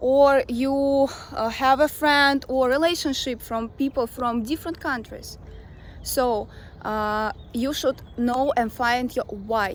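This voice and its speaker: A woman speaks very slowly, her high voice carrying a Russian accent. Her intonation stays fairly even. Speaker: language coach. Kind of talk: talking-head advice video. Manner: casual with fillers.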